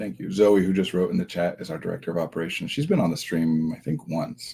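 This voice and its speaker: A man speaks quietly at a very fast pace, with big swings in loudness. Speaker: therapist hosting a livestream. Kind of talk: casual livestream talk.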